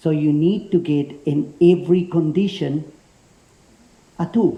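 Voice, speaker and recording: High male voice with a strong Spanish accent and fairly even intonation. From Spain. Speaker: self-defence instructor, ex special forces paratrooper. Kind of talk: seminar talk to a class.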